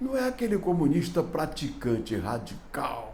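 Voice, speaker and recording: A somewhat breathy man with a dark, mellow tone talks at a fairly slow pace. His pitch swings very widely, and room echo is audible. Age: 70s. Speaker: political commentator. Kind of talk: opinion commentary.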